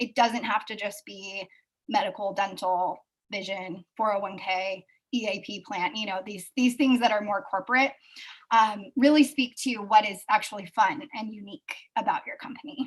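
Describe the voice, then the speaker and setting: A somewhat breathy woman speaks at a fairly high pitch and a moderate pace. Her loudness swings widely, while her pitch variation is ordinary. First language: not English. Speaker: recruiting speaker and author. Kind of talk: live webinar presentation.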